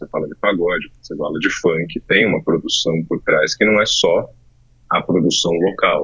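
A man's voice at a moderate pace, with big swings in loudness. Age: 40s. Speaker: podcast co-host and business partner. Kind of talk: casual chat.

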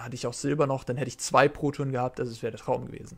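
A man's medium-pitched voice holds fairly even intonation. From Germany, Hamburg. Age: 20s. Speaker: professional card game player. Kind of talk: interview. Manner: halting, many fillers.

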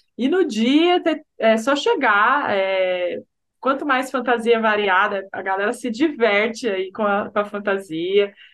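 A woman talks at a very slow pace with lively intonation. Her pitch sits fairly high. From Brazil, São José dos Campos (Vale do Paraíba). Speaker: sociology teacher and carnival bloc founder. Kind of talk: casual interview.

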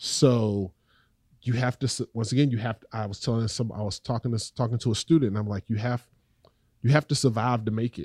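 A medium-pitched man with a Southern US accent, fairly quick and fairly even in intonation. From North Carolina, Raleigh. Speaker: poet and educator. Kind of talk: interview.

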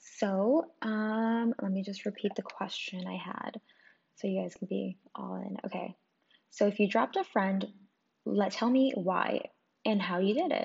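A woman's somewhat breathy voice at a fairly slow pace with ordinary pitch variation. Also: medium pitch for a woman. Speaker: podcast host. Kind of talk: casual chat.

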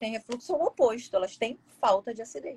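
This woman has a normal speaking voice at a fairly high pitch. She keeps a moderate pace with lively intonation. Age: 40s. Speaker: gastroenterologist. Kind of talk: casual interview.

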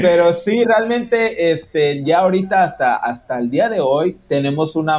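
At a fairly slow pace, a man's voice ranges through very wide pitch swings. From Mexico, Quintana Roo (Yucatán peninsula). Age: 30s. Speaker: podcaster. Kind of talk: casual interview.

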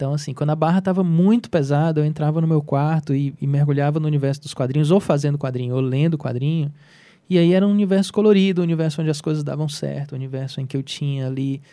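Talking very fast, a man with a fairly high pitch and a dark, mellow tone keeps his intonation fairly even. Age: 40s. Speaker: comic artist and illustrator. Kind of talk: interview. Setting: studio.

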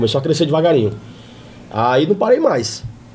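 A man's fairly high voice at a very fast pace with very wide pitch swings, music in the background. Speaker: comedian. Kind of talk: casual chat.

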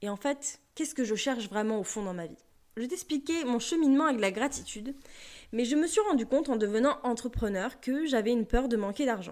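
Her voice sits high for a woman, moving at a fairly quick pace with lively intonation. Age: 20s. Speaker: podcast host, personal development coach. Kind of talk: solo podcast monologue.

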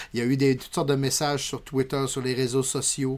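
A man speaks in a fairly high voice at a moderate pace. He has a normal speaking voice. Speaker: podcast co-host. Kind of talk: casual chat.

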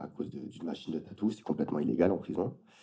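A fairly quick pace carries the speech. The tone is dark and mellow. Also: man. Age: 30s. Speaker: tattoo artist. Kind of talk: casual interview. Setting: at home.

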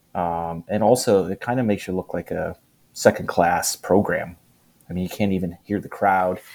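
In a plain, everyday voice, a man talks at a fairly quick pace with fairly even intonation. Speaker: podcast guest. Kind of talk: casual sports banter. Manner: jokey, repeats rivalry catchphrase.

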